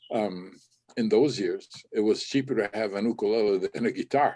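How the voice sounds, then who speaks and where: A man speaks at a moderate pace with a Hawaiian accent. His tone is dark and mellow, and his intonation fairly even. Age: 70s. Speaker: ukulele musician. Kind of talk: interview. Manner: halting.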